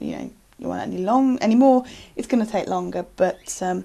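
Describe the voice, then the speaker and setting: A woman with a British accent talks at a very fast pace. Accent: English (UK). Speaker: photographer. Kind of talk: casual self-introduction to camera. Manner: halting, many fillers.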